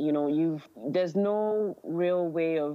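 A woman at a moderate pace. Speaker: published author. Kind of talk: interview conversation.

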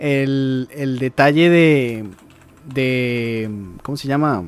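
Very slow pace with fairly even intonation. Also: man. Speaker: gaming commentator. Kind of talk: casual chat.

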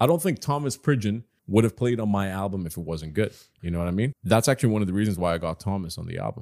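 Over a very clean, silent background with a dry, close sound and no echo, a man talks very fast at a fairly low pitch with lively intonation. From Qatar. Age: 30s. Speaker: rock musician. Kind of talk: casual chat. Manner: animated.

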